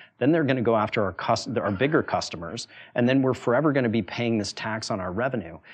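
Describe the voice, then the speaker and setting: Speaking very fast in an American accent, a man uses a medium pitch with ordinary pitch variation. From US, Wyoming small town. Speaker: venture capitalist and former startup founder. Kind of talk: talk to a university audience.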